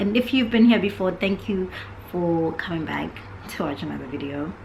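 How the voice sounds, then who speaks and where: With noticeable background noise and audible room echo, a woman talks at a moderate pace in a fairly low voice with lively intonation. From South Africa, Johannesburg until 13, then York, England. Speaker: podcast co-host. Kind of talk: casual chat.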